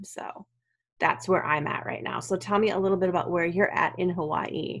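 Her very deep, low pitch carries vocal fry as this woman speaks at a moderate pace with lively intonation. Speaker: podcast host; writer. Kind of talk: casual interview. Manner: quiet, keeping voice down.

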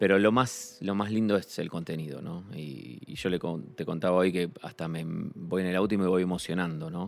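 This man has a very deep, low pitch. He speaks at a moderate pace with ordinary pitch variation. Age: 40s. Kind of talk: casual chat. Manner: halting, repeats words.

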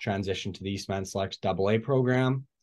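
A man with a Canadian Prairies accent and a dark, mellow tone talks with ordinary pitch variation against a quiet background. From Manitoba, Canada. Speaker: junior hockey player. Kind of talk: interview. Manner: frequent 'uh' fillers.

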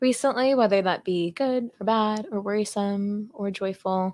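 In an ordinary speaking voice, a woman with an American accent speaks at a medium pitch with ordinary pitch variation, in a very clean recording with a silent background. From California. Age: 20s. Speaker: environmentalist and venture capitalist. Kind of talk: casual interview.

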